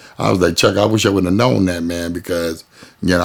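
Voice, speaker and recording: Very deep and low, this man's voice carries an American accent. His pitch varies in an ordinary way. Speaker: go-go musician. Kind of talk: interview storytelling. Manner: casual, relaxed.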